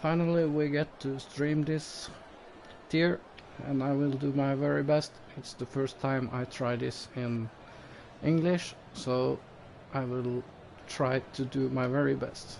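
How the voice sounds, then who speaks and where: A man with a non-native accent at medium pitch, fairly slow and with fairly even intonation, broken by long, frequent pauses. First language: Norwegian. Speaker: esports race commentator. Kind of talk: live commentary. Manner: halting.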